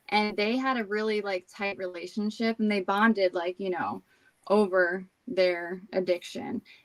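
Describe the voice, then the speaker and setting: Speaking with a New Jersey accent, a woman keeps a medium pitch and fairly even intonation in a dry, close sound with no echo. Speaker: recovering alcoholic sharing her story. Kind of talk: recovery testimony in interview.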